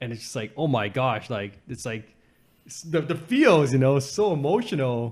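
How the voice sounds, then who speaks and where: A plain, everyday voice with a Canadian accent speaks at a moderate pace with lively intonation. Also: man, medium pitch for a man. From Canada, Vancouver area. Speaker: podcast host. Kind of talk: casual chat.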